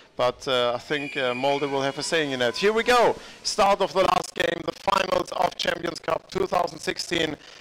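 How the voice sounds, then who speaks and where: Amid noticeable background noise, a high-pitched man speaks at a moderate pace with ordinary pitch variation and hardly any pauses. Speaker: live-stream sports commentator. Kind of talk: live commentary. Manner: hesitant, many fillers.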